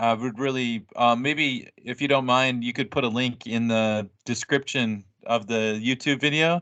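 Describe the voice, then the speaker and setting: A medium-pitched man with an American accent speaks fairly slowly with hardly any pauses and fairly even intonation. His tone is bright and sharp, and the background is quiet. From United States. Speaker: English teacher and podcaster. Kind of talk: casual conversation.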